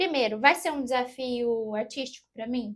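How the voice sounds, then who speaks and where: At a fairly slow pace, a woman speaks in a high voice with lively intonation. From southern Minas Gerais, Brazil (Passos). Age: 40s. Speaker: actress and voice actor. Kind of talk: interview.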